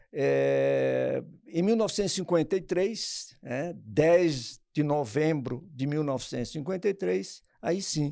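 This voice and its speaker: A man's fairly high voice with a dark, mellow tone, lively intonation and a very slow pace. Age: 70s. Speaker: charity volunteer for elderly care home. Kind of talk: interview. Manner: halting.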